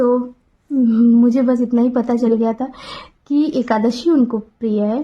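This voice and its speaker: This woman has a high pitch and a dark, mellow tone. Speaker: devotional vlogger. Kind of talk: personal talk to camera. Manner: halting.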